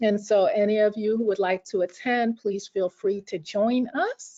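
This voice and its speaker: An ordinary speaking voice with an American accent, fairly slow in pace, with ordinary pitch variation and a dry, close sound with no echo. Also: woman. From New York. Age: 50s. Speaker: workshop presenter. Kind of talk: webinar presentation.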